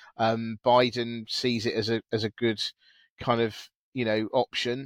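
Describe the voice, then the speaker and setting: Someone with a British accent speaks at a fairly slow pace in a flat monotone, recorded very cleanly with a silent background and a dry, close sound with no echo. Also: man. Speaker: podcast host. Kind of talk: casual chat. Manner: chatty, hesitant with many fillers.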